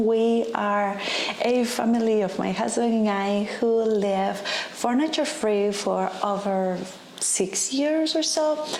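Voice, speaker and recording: Lively intonation marks a woman's medium-pitched voice with a Spanish accent. Audible room echo and noticeable background noise are present. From Costa Rica. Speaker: lifestyle vlogger. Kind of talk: casual vlog talk to camera.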